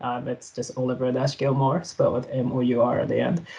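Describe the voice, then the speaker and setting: His pitch rises and falls in an ordinary way as the man talks. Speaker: software developer presenter. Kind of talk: tech talk presentation. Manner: fast; hesitant with fillers.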